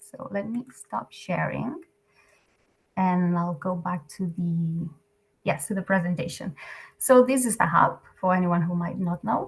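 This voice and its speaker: Somewhat breathy and lively in intonation, a woman speaks at a fairly slow pace with long, frequent pauses. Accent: Catalan. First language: Catalan. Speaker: NGO program staff presenting. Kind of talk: webinar presentation. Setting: video call. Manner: hesitant, filler-heavy.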